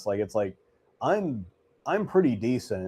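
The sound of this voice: At a fairly slow pace, a man speaks with medium pitch and big pitch swings. His tone is dark and mellow with a slightly husky edge.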